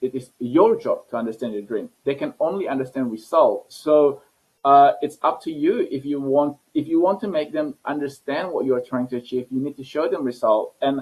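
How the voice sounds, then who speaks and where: Speaking with a fairly high pitch and ordinary pitch variation, a man keeps a moderate pace. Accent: non-native. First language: not English. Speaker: scientist and entrepreneur. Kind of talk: interview. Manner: halting, many repetitions.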